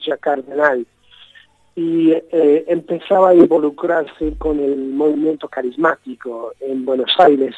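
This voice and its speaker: The recording has a dry, close sound with no echo as a man speaks at a fairly slow pace. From Britain. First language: English (speaking Spanish). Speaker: journalist and author. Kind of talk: interview. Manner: halting, many repetitions.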